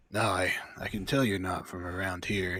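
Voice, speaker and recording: A man puts on a raspy character voice at a very deep, low pitch. His intonation is fairly even, and his pace is moderate. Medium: actual play. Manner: friendly but guarded, hesitant.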